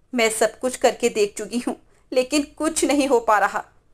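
The woman's fairly high voice moves with lively intonation. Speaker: storyteller narrating a story. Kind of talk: bedtime story narration. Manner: narrates steadily, shifting to dramatic character voices; expressive, with disgust and alarm in the dialogue.

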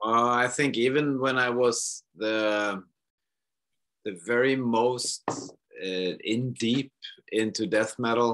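Against a quiet background, a man with a Swedish accent speaks at a very slow pace and a medium pitch. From Sweden. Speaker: rock musician. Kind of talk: interview. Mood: relaxed, amused. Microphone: video call.

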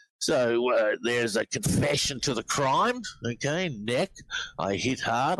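A man speaks at a medium pitch with an Australian accent. The sound is dry and close with no echo, but background noise is noticeable. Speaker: reverse speech researcher. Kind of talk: interview answer.

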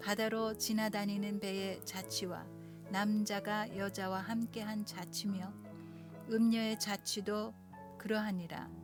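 A woman's medium-pitched, flat monotone at a very slow pace over background music. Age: 60s; old. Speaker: pianist, pastor's wife. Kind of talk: Bible reading over piano.

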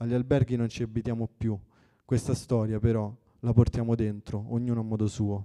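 A man talks very fast in a monotone, flat delivery at medium pitch. His tone is dark and mellow, and the background is quiet. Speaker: event moderator. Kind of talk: moderating a book presentation. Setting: coworking space with audience. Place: hall. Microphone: handheld.

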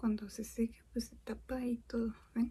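This soft-spoken woman has a fairly high pitch and a dark, mellow tone. She speaks at a very slow pace. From Mexico. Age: 20s. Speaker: programmer. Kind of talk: ASMR soft-spoken makeup chat.

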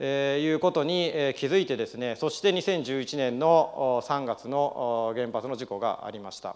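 At a fairly slow pace, a man with a fairly high pitch and ordinary pitch variation speaks with big swings in loudness over a quiet background. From Japan (Nagano), partly raised in Los Angeles; Japan. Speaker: business founder. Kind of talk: speech. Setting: stage with audience. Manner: hesitant with many fillers. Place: hall.

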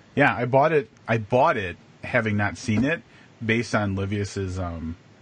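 A man's fairly low, somewhat breathy voice with ordinary pitch variation and a dry sound with no echo. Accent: American. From Wisconsin. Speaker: podcast co-host. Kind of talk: casual chat. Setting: live video stream. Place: home room. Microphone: video call.

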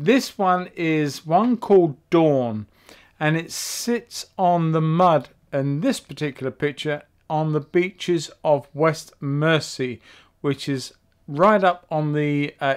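The background stays quiet while a man talks at a very slow pace. His pitch varies in an ordinary way. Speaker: painting channel host. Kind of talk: tutorial intro. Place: workshop.

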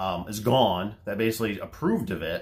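Using a normal speaking voice, a man talks at a moderate pace. His pitch is fairly low with ordinary pitch variation. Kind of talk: casual vlog chat. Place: garage. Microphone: phone near.

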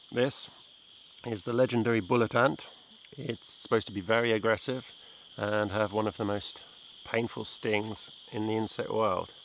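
A man at a moderate pace, monotone and flat, with long, frequent pauses, light background noise and a dry, echo-free sound. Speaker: presenter. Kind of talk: casual nature explanation to camera.

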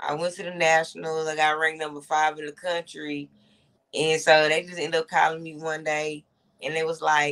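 A woman with a plain, everyday voice speaks at a moderate pace and a fairly low pitch against a quiet background. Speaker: guest. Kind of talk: interview answer. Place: home room. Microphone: video call.

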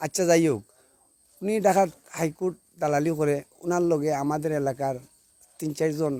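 A man's fairly high pitch comes with a dark, mellow tone and fairly even intonation. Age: 50s. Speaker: local resident making a grievance. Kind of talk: interview testimony.

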